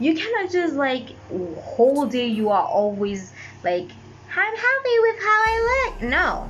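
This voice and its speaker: A woman's voice with very wide pitch swings, audible room echo and noticeable background noise. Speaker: YouTuber and voice actor. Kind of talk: casual late-night monologue.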